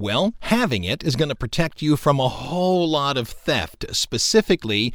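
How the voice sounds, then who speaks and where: In a very clean recording with a silent background, a man's pitch swings very widely. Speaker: radio host and teacher. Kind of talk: casual educational radio chat. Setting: radio studio.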